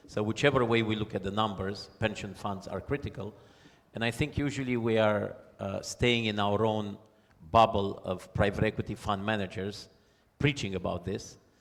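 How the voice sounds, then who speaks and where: A man in a normal speaking voice with fairly even intonation. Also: fairly low pitch for a man, moderate pace. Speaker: panel moderator. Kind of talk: panel discussion. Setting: conference stage with audience.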